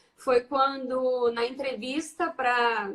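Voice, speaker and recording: A woman with a rural Brazilian accent speaks at a high pitch. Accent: Brazilian interior. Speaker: teacher and education researcher. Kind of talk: casual chat. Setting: video call.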